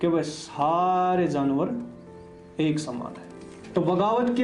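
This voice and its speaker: Over music in the background, a man with a Haryana accent talks in a high pitch with lively intonation. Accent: Haryanvi. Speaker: book reviewer. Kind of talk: book review talk. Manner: casual, conversational.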